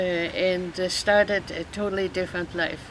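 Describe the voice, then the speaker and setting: A woman's medium-pitched voice in a German accent, with monotone, flat intonation over noticeable background noise. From Germany. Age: 80s+. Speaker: retired counselor and therapist. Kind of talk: interview. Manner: halting, many fillers.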